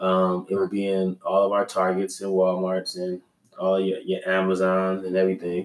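A man with a Californian accent speaks at a moderate pace in a very deep, low voice. His intonation stays flat and monotone. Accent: Californian American English. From Los Angeles, California. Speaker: entrepreneur, business co-founder. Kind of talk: casual interview.

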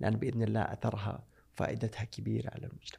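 This man's voice sits at a fairly low pitch, dark and mellow with vocal fry, moving at a moderate pace. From Saudi Arabia. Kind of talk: interview.

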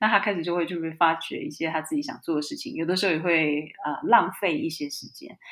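A fairly low-pitched woman at a very fast pace, with hardly any pauses and big swings in loudness. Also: lively intonation. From Taiwan. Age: 40s. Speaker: entrepreneur and author. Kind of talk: interview conversation.

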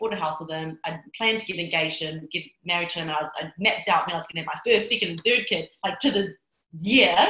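Speaking fairly quickly with a New Zealand accent, a woman uses a fairly low pitch and ordinary pitch variation. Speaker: success coach. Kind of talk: interview. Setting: Bali.

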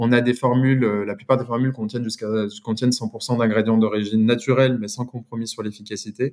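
A man speaks at a very fast pace. His medium-pitched delivery is monotone, with flat intonation. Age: 30s. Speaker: brand founder. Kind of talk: interview.

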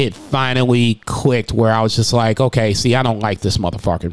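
A man speaks with a medium pitch and ordinary pitch variation. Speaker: restaurant server and podcast host. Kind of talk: casual monologue. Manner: loud.

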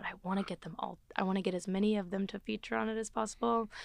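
In an American accent, a woman of medium pitch uses a normal speaking voice at a fairly quick pace on a very clean recording with a silent background. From US South, Gulf Coast Alabama. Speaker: singer-songwriter. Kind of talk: casual interview chat.

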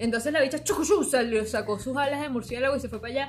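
A woman talks at a very fast pace. Her fairly high voice has ordinary pitch variation. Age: 30s. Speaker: podcast co-host. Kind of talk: casual chat.

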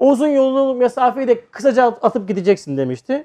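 There is an animated tone and ordinary pitch variation as a man speaks, with a dry, close sound and no echo. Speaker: religious teacher. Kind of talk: religious lecture.

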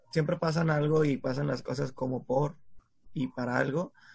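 Speaking at a fairly slow pace, the man has a fairly high pitch. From Mexico, San Pedro Garza García (Monterrey area). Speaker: podcast co-host. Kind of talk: casual chat.

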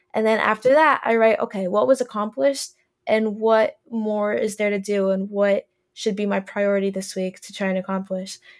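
A woman uses a normal speaking voice with big swings in loudness and ordinary pitch variation, recorded very cleanly against a silent background. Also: medium pitch for a woman, moderate pace. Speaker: podcast host and college student. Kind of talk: casual interview chat.

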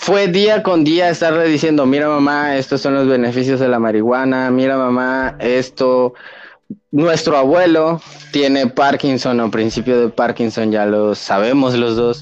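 A man speaks in a normal speaking voice at a medium pitch and a fairly slow pace. His pitch varies in an ordinary way, and his loudness is very even. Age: 20s. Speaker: podcast guest, cannabis user. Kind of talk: casual chat.

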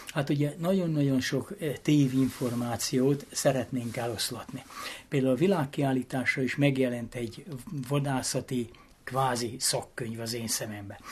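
Somewhat breathy, a man speaks at a fairly slow pace and medium pitch with ordinary pitch variation against a quiet background. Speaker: former president of a greyhound hunting association. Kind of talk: interview. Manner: animated.

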